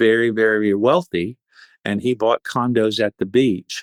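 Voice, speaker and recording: The speaker has an unremarkable speaking voice and a moderate pace. The recording is very clean with a silent background, with a dry, close sound and no echo. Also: man. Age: 60s. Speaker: vacation rental business owner. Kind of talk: podcast interview.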